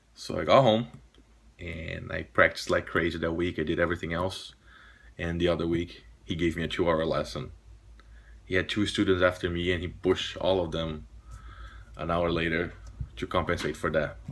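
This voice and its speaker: A man with a very deep, low pitch speaks with long, frequent pauses. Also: fairly even intonation. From Brazil, São Paulo countryside. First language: Portuguese. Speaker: pipe smoking vlogger and jazz guitarist. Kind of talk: casual monologue to camera. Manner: halting, many false starts.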